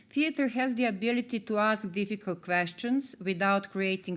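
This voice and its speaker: A woman with a Serbian accent at a moderate pace, ordinary pitch variation, in a very clean recording with a silent background. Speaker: theatre artist, award laureate. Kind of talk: award acceptance speech. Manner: formal.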